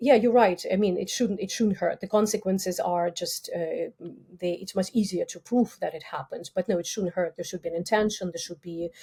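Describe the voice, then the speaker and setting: At a fairly quick pace, a woman speaks in a dark, mellow, somewhat breathy tone with fairly even intonation. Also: medium pitch for a woman, big swings in loudness. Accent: Russian. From Russia. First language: Russian. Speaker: criminology professor. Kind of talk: interview. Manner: halting.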